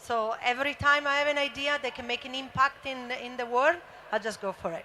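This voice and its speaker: A raised, projected voice with an Italian accent carries over noticeable background noise. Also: woman, high pitch for a woman, ordinary pitch variation, fairly quick pace. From Italy. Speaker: former motocross racer and founder. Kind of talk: panel discussion. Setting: stage with audience.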